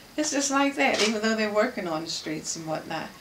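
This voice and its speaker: With an American accent and lively intonation, the speaker comes through over noticeable background noise. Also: woman. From Washington, DC. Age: 80s+. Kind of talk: interview answer. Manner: reminiscing, relaxed.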